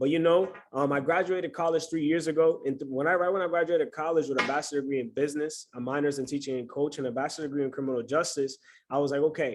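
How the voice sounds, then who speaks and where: Man with a New York accent, fairly high-pitched, talking at a very fast pace over a quiet background. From New York City. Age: 20s. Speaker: trading mentor. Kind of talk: online class welcome and self-introduction. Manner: animated.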